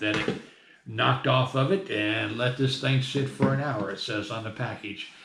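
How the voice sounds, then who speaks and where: There is audible room echo and noticeable background noise as a man with a medium pitch talks at a fairly quick pace with ordinary pitch variation. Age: 60s. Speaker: hobbyist metal detectorist. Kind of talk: tutorial. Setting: at home desk. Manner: casual, conversational.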